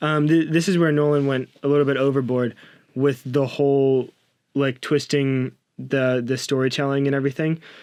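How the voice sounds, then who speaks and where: This man's voice sits fairly high in pitch, with a flat, monotone intonation and very even loudness throughout. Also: moderate pace. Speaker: film podcast co-host. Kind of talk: casual chat. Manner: halting, self-correcting.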